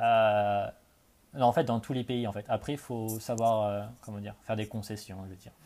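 On a very clean recording with a silent background, a man at a fairly low pitch speaks at a moderate pace with a dark, mellow tone, fairly even intonation and big swings in loudness. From France, Charente (Cognac). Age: 20s. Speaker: expat in Australia. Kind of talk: casual interview.

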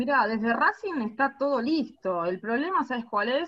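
Her fairly high-pitched voice carries lively intonation as this woman speaks. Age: 30s. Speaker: women's football captain. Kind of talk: interview. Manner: halting, repeats words.

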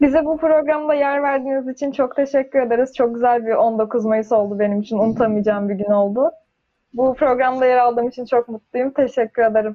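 This woman talks at a fairly quick pace in a high pitch. Her intonation is fairly even. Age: 20s. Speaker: engineering student. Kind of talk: casual chat.

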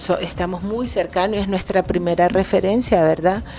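In a Nicaraguan accent, a woman speaks at a moderate pace and medium pitch with fairly even intonation, against noticeable background noise. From Nicaragua (raised from age 3, Salvadoran-born). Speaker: poet and cultural manager. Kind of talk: interview. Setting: radio studio.

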